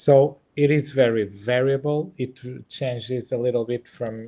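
With a Portuguese accent, a man talks at a fairly slow pace. His intonation stays fairly even against a quiet background. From Portugal. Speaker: embryologist and IVF lab director; presenter. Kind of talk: webinar presentation and Q&A. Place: home room. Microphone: webcam.

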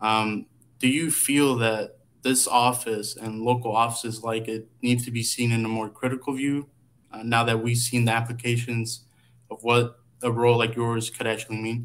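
This man speaks with an American accent at a moderate pace. His intonation is monotone and flat. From Georgia, US South. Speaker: student intern, co-host; co-host. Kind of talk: interview. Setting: video call. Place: home room.

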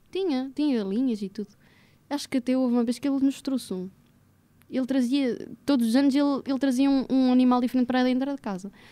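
Speaking at a very fast pace, a woman with a high pitch has a dark, mellow tone and fairly even intonation. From central Portugal, Águeda; Portugal. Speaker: podcast guest, recent graduate; podcast guest. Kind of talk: casual interview chat. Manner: halting, repetitive. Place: studio. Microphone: studio mic.

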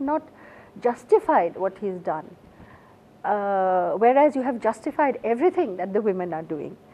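With an Assamese accent, a woman talks using lively intonation. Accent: Indian English (Assamese). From India, Assam. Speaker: novelist. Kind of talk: interview. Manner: halting. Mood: warm, reflective. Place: studio.

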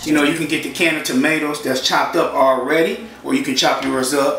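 A man talks at a fairly quick pace with ordinary pitch variation. Clear music plays behind him, and the room echo is audible. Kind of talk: cooking tutorial. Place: kitchen.

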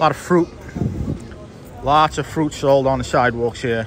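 A man's voice sounds dry with no echo, with clear music playing in the background. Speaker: walking tour host. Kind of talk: casual vlog chat. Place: street. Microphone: phone near.

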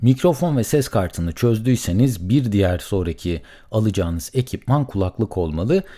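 A man's fairly low, dark and mellow voice with very wide pitch swings and hardly any pauses, in a very clean recording with a silent background. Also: moderate pace. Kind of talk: solo podcast monologue. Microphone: studio condenser mic with pop filter.

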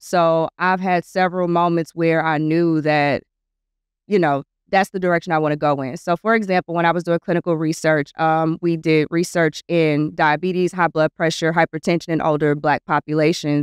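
In a dry sound with no echo and a quiet background, a woman with an American accent speaks in a monotone, flat voice. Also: fairly low pitch for a woman, moderate pace. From US South. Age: 30s. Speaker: medical student; podcast guest. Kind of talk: casual chat. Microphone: studio mic.

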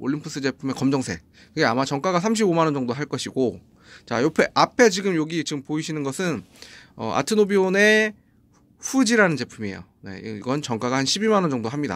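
The man's voice is fairly high, with very wide pitch swings. He speaks at a fairly quick pace. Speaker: audio gear reviewer, music producer; gear reviewer. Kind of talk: product review. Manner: halting, stumbling. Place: studio. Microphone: phone near.

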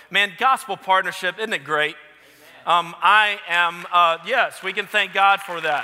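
A man's high-pitched voice at a fairly slow pace, ordinary pitch variation, crowd noise in the background. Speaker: guest preacher. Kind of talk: sermon. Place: church. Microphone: headset.

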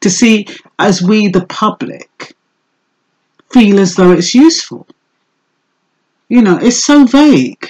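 The voice moves through very wide pitch swings at a very slow pace, somewhat breathy. The background is quiet. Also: woman. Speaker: vlogger commenting on news. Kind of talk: casual vlog commentary. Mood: skeptical, unimpressed. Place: home room. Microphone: webcam.

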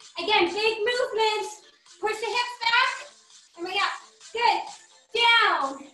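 A woman speaks in a raised, projected voice at a fairly slow pace, with audible room echo and faint music in the background. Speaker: fitness trainer. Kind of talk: workout instruction. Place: gym. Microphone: video call.

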